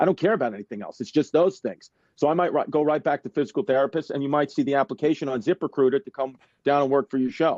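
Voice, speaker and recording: A man with a New York accent talks at a very fast pace in an animated tone, the sound dry and close with no echo. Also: fairly high pitch for a man, ordinary pitch variation, quiet background. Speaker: stand-up comedian. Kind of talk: casual interview chat. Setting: video call from home. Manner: animated, fast. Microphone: smudgy iPhone.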